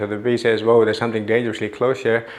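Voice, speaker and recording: Audible room echo fills the space. Through it comes a man's voice. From South India. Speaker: neuroscientist. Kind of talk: lecture. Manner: fast.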